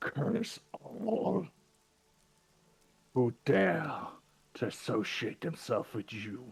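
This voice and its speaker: In a booming, put-on character voice, a man speaks at a very slow pace. His pitch sits in the medium range. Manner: furious, cursing.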